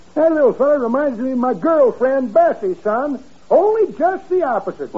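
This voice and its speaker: Over light background noise, a man does a put-on character voice at an extremely high pitch, cackling at a moderate pace. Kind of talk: 1940s radio comedy acting. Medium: old radio play. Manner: folksy, rambling, ungrammatical, cackling.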